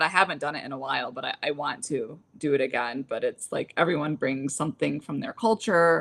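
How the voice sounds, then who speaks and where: Speaking with an American accent, a woman moves at a fairly quick pace. Her pitch is very deep and low. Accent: none in English. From United States, Lebanese family. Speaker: podcast host. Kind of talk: casual chat. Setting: live stream.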